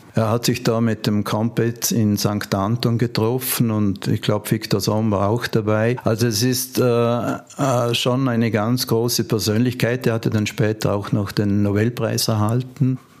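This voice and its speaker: A man talks at a medium pitch and a fairly slow pace, with hardly any pauses, very even loudness and a flat monotone. Noticeable background noise is present. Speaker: ski museum founder. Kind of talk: interview. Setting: museum.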